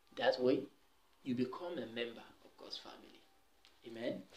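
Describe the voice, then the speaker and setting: A fairly slow pace from a male speaker. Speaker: preacher giving testimony. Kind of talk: sermon-like exhortation. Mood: earnest, calm. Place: home room. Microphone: camera far.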